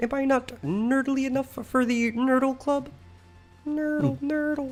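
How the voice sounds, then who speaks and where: A female-sounding, put-on character voice speaks fairly slowly at a high pitch, with faint music in the background. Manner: goofy, silly.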